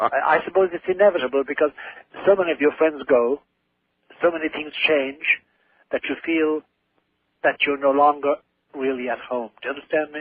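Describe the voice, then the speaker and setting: A man with an Irish accent, fairly quick in pace yet with long, frequent pauses. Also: fairly high pitch for a man, fairly even intonation. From Ireland. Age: 70s. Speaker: priest and author. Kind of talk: radio interview.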